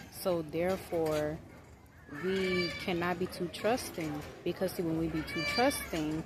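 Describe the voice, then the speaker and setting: The speaking pace is fairly slow. Noticeable background noise runs underneath. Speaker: parenting vlogger. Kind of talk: casual vlog monologue. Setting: outdoors at a children's park.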